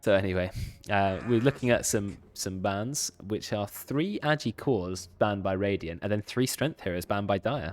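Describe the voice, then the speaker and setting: A man speaks with a British accent. His voice is fairly low, with ordinary pitch variation. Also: very clean recording, silent background. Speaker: esports caster and streamer. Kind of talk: live game commentary with casual chat. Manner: fast.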